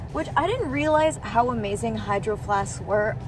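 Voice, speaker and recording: A woman speaks at a moderate pace. The sound is dry with no echo, and clear music plays in the background. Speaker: vlogger. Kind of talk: casual vlog chat. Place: car. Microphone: phone near.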